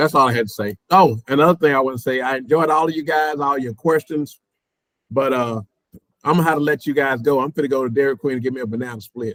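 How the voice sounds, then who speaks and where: Dry and close with no echo, a man with a Texan accent and a fairly high voice talks very fast with ordinary pitch variation. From Texas. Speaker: expat guest. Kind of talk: casual chat.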